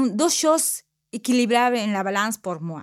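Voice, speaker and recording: A woman speaks with a Spanish accent at a high pitch, swinging very widely between highs and lows. The sound is dry and close with no echo. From Peru. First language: Spanish (speaking French). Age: 50s. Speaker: job training participant. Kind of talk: testimony. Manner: halting.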